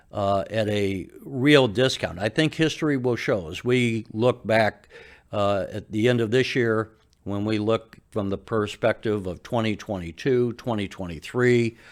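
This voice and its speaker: At a fairly slow pace, a man with an American accent speaks at medium pitch on a very clean recording with a silent background. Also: ordinary pitch variation. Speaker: investing channel host. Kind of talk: casual commentary to camera. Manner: enthusiastic.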